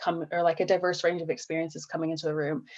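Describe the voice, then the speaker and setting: A woman speaks with an American accent. Her pitch sits fairly low. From United States. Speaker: social entrepreneur. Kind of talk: panel interview. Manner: hesitant, many fillers.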